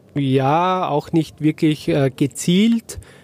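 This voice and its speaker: A man speaks with a fairly high pitch and a dark, mellow tone. The sound is dry and close with no echo, and his pitch varies in an ordinary way. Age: 60s. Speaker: franchise owner, former corporate CFO. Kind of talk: interview. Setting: podcast bus at a trade fair. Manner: hesitant, many filler sounds.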